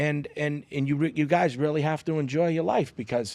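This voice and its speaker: On a very clean recording with a silent background, a man with a strong Boston accent speaks at a moderate pace and a fairly high pitch. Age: 40s. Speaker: comedian and social media content creator. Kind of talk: casual podcast interview. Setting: podcast studio.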